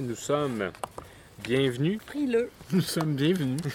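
Lively intonation over noticeable background noise. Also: man. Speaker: podcast host. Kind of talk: casual chat. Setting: outdoors in a backyard.

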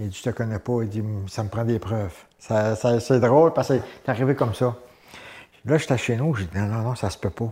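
Somewhat breathy with a dark, mellow tone, a man speaks at a medium pitch with ordinary pitch variation and long, frequent pauses. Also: fairly quick pace. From Gaspésie, Quebec (Saint-Gabriel). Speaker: former professional wrestler. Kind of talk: interview. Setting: studio.

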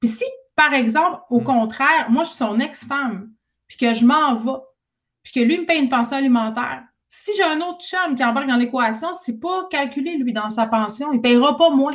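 A woman with a high pitch talks at a moderate pace, her pitch varying in an ordinary way while her loudness swings widely. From Quebec, Saguenay (Jonquière). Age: 30s. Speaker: author and radio host. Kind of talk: casual chat.

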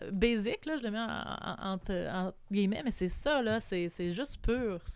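A woman with an unremarkable speaking voice, fairly high pitch and lively intonation. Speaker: community organization worker. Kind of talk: casual chat.

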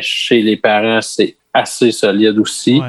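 A man speaks at a medium pitch. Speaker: school staff member. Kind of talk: casual chat.

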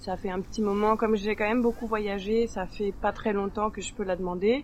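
The woman's pitch is fairly high and varies in an ordinary way. She talks at a moderate pace. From France. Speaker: circus and theatre artist. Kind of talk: podcast interview testimony. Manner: hesitant, many fillers.

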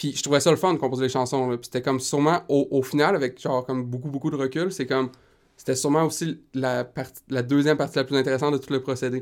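Very fast, a man with a medium pitch and fairly even intonation speaks on a very clean recording with a silent background. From Quebec, Rimouski. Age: 20s. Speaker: singer-songwriter. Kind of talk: casual interview.

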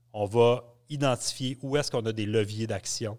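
This is a normal speaking voice from a man, medium in pitch with ordinary pitch variation, on a very clean recording with a silent background. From Quebec, Abitibi. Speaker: university professor. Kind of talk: interview.

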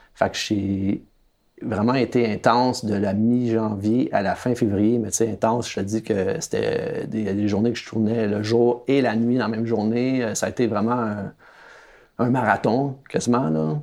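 A man with a Quebec accent at medium pitch, fairly slow and fairly even in intonation, amid noticeable background noise. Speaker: documentary filmmaker. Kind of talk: interview.

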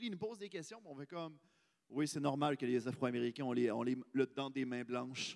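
In a Quebec accent, a man talks at a fairly quick pace with a medium pitch and ordinary pitch variation. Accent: Québécois French. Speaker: podcast host. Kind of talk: live podcast chat.

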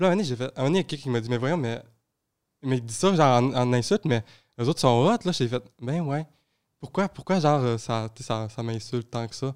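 A man at a medium pitch and fairly quick pace, with ordinary pitch variation, in a very clean recording with a silent background. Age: young. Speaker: youth environmental advocate. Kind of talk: casual chat. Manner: halting.

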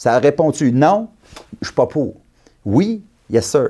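A man's fairly high, dark and mellow voice, swinging very widely in pitch at a very slow pace. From Quebec, Abitibi. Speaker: election candidate. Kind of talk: political interview.

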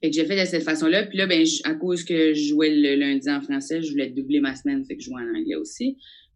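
A woman's very deep, low pitch at a fairly quick pace, lively in intonation, against noticeable background noise. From New Brunswick, Acadia. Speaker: comedian. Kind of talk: casual interview.

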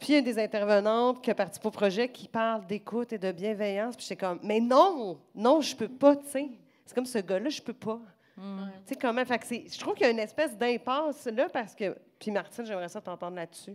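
The speaker talks at a fairly quick pace with a Quebec accent and ordinary pitch variation. Loudness swings widely. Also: woman, fairly high pitch for a woman. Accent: Québécois French. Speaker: podcast guest. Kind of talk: casual chat. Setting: stage with audience.

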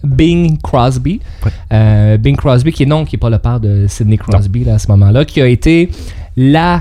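A man's voice, an ordinary speaking voice, at a fairly slow pace with ordinary pitch variation. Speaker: radio co-host. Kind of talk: casual radio chat.

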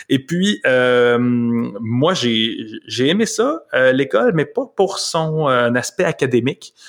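Very slow speech from a man with a fairly high pitch and lively intonation. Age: 30s. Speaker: journalist. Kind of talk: interview.

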